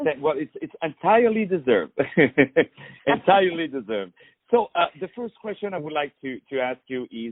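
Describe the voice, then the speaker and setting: Speaking at a fairly quick pace with a non-native accent, a man uses a high pitch, very wide pitch swings, big swings in loudness, and long, frequent pauses. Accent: foreign. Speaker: radio interviewer. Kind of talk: interview.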